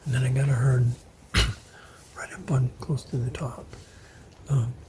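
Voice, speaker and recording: Moderately paced speech over noticeable background noise. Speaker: bowhunter. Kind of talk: vlog narration. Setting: outdoors. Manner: halting.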